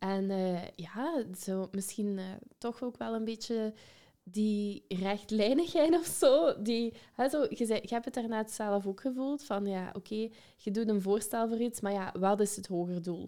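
With a Limburg accent, a woman speaks at a fairly slow pace in a dark, mellow tone, her fairly high pitch showing ordinary variation. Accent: Limburg Flemish. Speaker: podcast host and educator. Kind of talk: interview.

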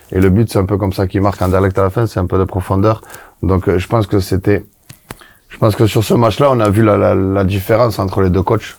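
A man with a fairly low pitch speaks at a fairly quick pace. His loudness stays very even, and his intonation is flat and monotone. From southwest France. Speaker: former footballer and coach. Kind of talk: casual chat.

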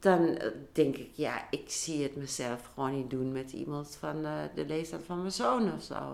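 At a fairly slow pace, a woman speaks with a very deep, low pitch, ordinary pitch variation and vocal fry. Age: 60s. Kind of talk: casual chat.

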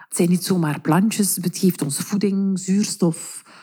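A woman's somewhat breathy voice with a dark, mellow tone, medium pitch and fairly even intonation, on a very clean recording with a silent background. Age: 30s. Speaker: teacher and mother. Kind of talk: interview.

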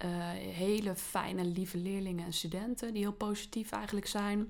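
A woman speaks in a plain, everyday voice at a medium pitch. Her intonation is fairly even. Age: 30s. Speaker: teacher. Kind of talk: casual interview.

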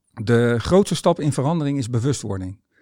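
A man speaks at a moderate pace with ordinary pitch variation and a medium pitch, his tone dark and mellow. The recording is very clean with a silent background, and the sound is dry and close with no echo. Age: 50s. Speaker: tennis coach and author. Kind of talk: monologue about mindset.

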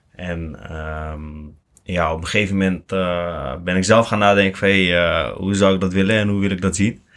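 At a fairly slow pace, a man speaks in a very deep, low pitch with fairly even intonation. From Netherlands, Lelystad. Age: 20s. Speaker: security company director. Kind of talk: interview.

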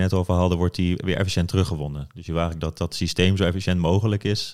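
A man talks at a very fast pace in a very deep, low voice. The recording is very clean, with a silent background. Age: 30s. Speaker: sustainability professional. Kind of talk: interview.

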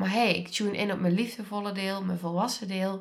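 At a moderate pace, a woman speaks in a somewhat breathy voice of medium pitch. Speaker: podcast host and trauma coach. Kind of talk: solo podcast monologue. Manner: warm.

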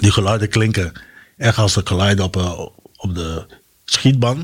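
A man's fairly low, somewhat breathy voice at a fairly slow pace, with ordinary pitch variation. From Curaçao. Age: 40s. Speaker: military sergeant, war veteran. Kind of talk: interview testimony.

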